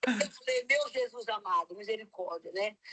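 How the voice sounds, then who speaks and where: A woman's normal speaking voice, fairly high in pitch, at a moderate pace with fairly even intonation and a dry, close sound without echo. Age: 60s. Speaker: missionary. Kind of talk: testimony.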